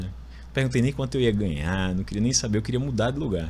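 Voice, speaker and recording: With an Alagoas accent, this voice has a dark, mellow tone and vocal fry, moves at a fairly quick pace with very wide pitch swings, and carries audible room echo. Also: man. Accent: northeastern Brazilian (Alagoas), noticeable. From Alagoas, Brazil (Maceió). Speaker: lawyer turned marketing executive. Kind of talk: podcast interview, personal story.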